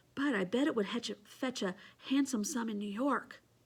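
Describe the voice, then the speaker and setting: Using a put-on character voice, a woman speaks at a moderate pace in a rumbling, nervous tone with a fairly high pitch and ordinary pitch variation. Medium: read story. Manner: nervous, grumbling.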